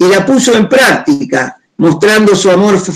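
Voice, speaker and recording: Speaking very slowly, a man uses a high pitch that varies in an ordinary way. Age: 70s. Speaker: pastor. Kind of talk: testimony. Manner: halting.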